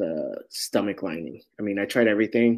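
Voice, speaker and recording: A man speaks at a moderate pace with a fairly low pitch and a Californian accent. The recording is very clean, with a silent background. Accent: Californian American English. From San Francisco, Sunset District. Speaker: guest, home baker. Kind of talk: casual interview.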